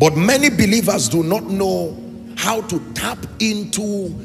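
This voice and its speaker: Clear music can be heard behind a man who is talking. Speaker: preacher. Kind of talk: sermon. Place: church. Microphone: handheld.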